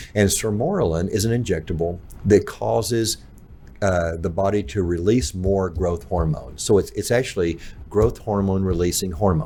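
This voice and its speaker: A man with a very deep, low voice that is dark, mellow and somewhat breathy speaks at a moderate pace with ordinary pitch variation. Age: 60s. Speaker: pharmacist. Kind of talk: casual chat.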